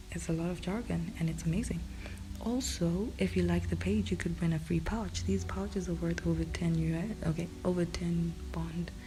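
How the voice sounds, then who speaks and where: Whispering at a moderate pace with very even loudness, the voice comes through audible room echo with music in the background. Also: woman. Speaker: podcast host. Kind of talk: sponsor read. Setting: home recording at night. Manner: casual, chatty.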